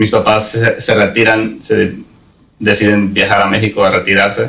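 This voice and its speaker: The man speaks at a fairly slow pace. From Mexico (Puebla), raised in US from age 8. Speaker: business owner, metalworker. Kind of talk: interview. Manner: halting, many repetitions.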